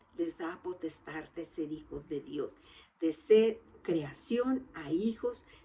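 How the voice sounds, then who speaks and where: Speaking at a very slow pace, a woman uses lively intonation in a fairly low voice. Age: 60s. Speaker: lay preacher. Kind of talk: sermon.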